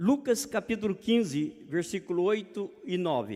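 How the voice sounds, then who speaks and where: A man's dark, mellow tone with lively intonation. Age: 60s. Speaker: preacher. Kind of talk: sermon. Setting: church.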